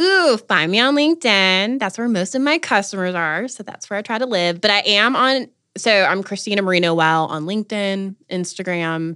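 With an American accent, a woman speaks at a moderate pace with hardly any pauses, a bright, sharp tone and lively intonation, on a very clean recording with a silent background. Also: medium pitch for a woman. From North Carolina. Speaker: marketing agency founder and startup accelerator leader. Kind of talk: interview conversation.

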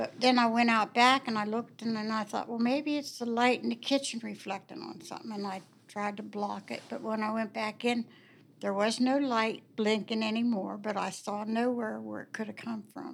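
A woman with an American accent, an unremarkable speaking voice, fairly high pitch, fairly even intonation and a moderate pace. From Warwood, Wheeling, West Virginia. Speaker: longtime homeowner telling ghost stories. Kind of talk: storytelling.

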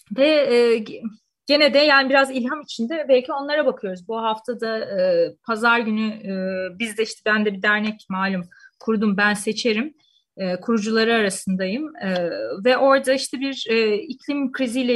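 A woman's fairly high pitch, ordinary pitch variation and moderate pace over a quiet background. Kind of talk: radio discussion. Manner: hesitant with many fillers.

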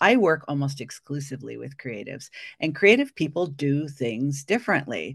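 Vocal fry runs through speech at a moderate pace with lively intonation. Loudness swings widely over a quiet background. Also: woman, very deep, low pitch for a woman. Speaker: coach, former psychotherapist. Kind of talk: casual interview chat. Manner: energetic and loud.

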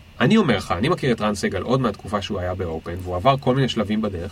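Somewhat breathy, a man speaks at a very fast pace and a fairly low pitch with ordinary pitch variation. The recording is very clean, with a silent background. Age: 30s. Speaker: entrepreneur and career consultant. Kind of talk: casual interview. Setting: studio.

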